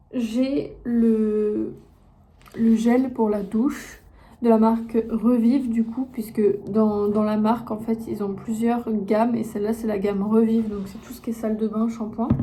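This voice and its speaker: Somewhat breathy, a woman speaks at a fairly slow pace and a fairly high pitch with monotone, flat intonation. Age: 20s. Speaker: content creator and entrepreneur. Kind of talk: casual talk to camera.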